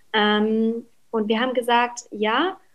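A woman with a fairly high pitch has an unremarkable speaking voice. Her intonation is fairly even. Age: 20s. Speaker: cookbook author. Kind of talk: casual interview.

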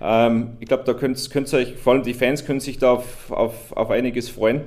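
A man of medium pitch talks at a moderate pace. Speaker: motorsport series manager. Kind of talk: casual interview.

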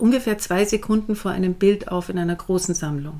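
A woman's dark, mellow tone at a moderate pace. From Bavaria, Garmisch-Partenkirchen. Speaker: theatre director. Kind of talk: interview. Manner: hesitant, many filler sounds.

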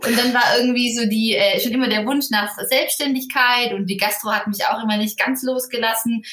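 A woman speaks at a high pitch with ordinary pitch variation. Her pace is moderate, and there is noticeable background noise. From southern Germany, Ulm (Swabia). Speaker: wedding planner. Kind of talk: interview.

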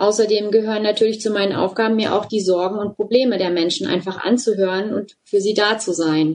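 Fairly even intonation and a moderate pace from a woman with a normal speaking voice pitched in the medium range. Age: 40s. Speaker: volunteer group leader. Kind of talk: interview.

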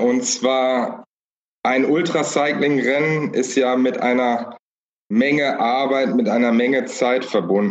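At a fairly slow pace, a man talks in a normal speaking voice with medium pitch and fairly even intonation. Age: 30s. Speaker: cycling support crew member. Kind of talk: casual interview.

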